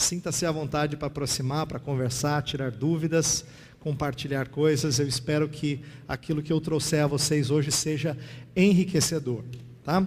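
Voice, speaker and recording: A man talks in a somewhat breathy voice pitched fairly high. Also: fairly even intonation, moderate pace. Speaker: pastor and theology teacher. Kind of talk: lecture. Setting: classroom with audience and slides.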